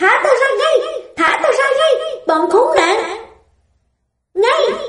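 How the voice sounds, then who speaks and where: A female-sounding, squeaky put-on character voice shouts at an extremely high pitch and a very slow pace. There is slight echo. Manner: screaming, furious.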